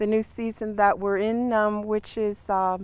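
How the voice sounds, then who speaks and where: A woman speaks at a fairly slow pace with a Great Lakes accent. Her pitch is fairly high, and the recording is very clean with a silent background. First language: Ojibwe. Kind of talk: ceremonial teaching. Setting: outdoors in a garden.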